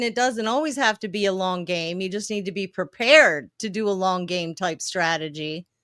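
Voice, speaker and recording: A woman with an American accent. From Baltimore, Maryland. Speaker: podcast host. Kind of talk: interview.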